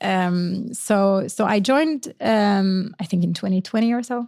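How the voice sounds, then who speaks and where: Spoken at a very slow pace with fairly even intonation and a Norwegian accent, the voice comes through a very clean recording with a silent background. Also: woman. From Norway. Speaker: marketing executive. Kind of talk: interview conversation. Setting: studio.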